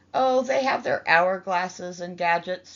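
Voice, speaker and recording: A woman's put-on character voice, cackling, at a medium pitch and a moderate pace. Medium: read story. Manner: wry, cackling.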